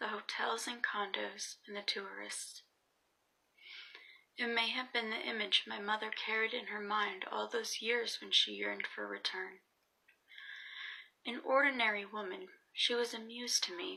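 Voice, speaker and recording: A soft-spoken woman at a fairly slow pace, with long, frequent pauses. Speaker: student. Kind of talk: essay reading.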